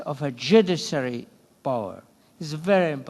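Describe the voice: A man speaks with lively intonation and some vocal fry. His tone is slightly mellow.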